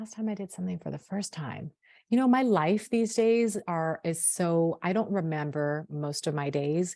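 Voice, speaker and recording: A woman with a slight Sacramento accent, fairly low-pitched, dark and mellow in tone, with lively intonation at a fairly slow pace. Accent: slight Sacramento accent, drops T's. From Sacramento, California. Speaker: hair care brand founder. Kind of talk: podcast interview. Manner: clear, eloquent.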